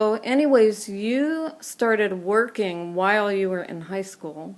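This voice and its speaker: A plain, everyday voice from a woman, medium in pitch, with lively intonation at a fairly slow pace. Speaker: author. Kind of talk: interviewer questions.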